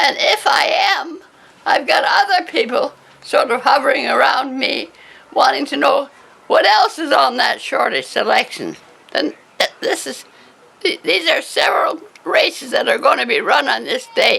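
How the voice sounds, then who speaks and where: A woman with an extremely high pitch speaks in a raised, projected voice, her pitch swinging very widely. She leaves long, frequent pauses, and noticeable background noise is present. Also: moderate pace. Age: 80s+. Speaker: former bookie. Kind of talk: interview. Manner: halting.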